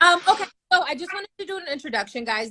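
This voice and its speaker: Raising and projecting her voice, a woman with an American accent speaks in a bright, sharp, animated tone with lively intonation, in a dry, close sound with no echo. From United States. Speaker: podcast host. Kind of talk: casual chat.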